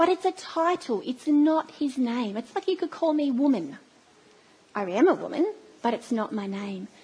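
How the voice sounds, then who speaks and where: Her high-pitched voice, in an Australian accent, swings very widely as this woman speaks. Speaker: church speaker. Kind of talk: sermon. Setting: church.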